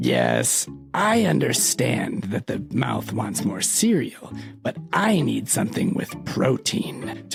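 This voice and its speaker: Fairly slow delivery in a put-on character voice, clear music playing behind it. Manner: assertive, comical.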